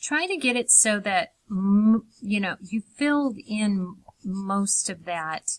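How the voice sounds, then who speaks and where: Her medium-pitched voice is somewhat breathy, moving at a very slow pace with ordinary pitch variation, and the sound is dry and close with no echo. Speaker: art teacher for kids. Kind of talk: tutorial. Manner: halting.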